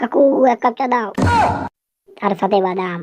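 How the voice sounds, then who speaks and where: A put-on character voice delivers its lines at a fairly high pitch and a moderate pace. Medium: fan dub. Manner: bossy, demanding.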